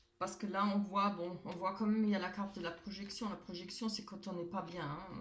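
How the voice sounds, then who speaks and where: A woman talks at a fairly quick pace in a monotone, flat intonation, with noticeable background noise. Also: medium pitch for a woman. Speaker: tarot card reader. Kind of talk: tarot reading; casual chat. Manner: loud enough, not shouting.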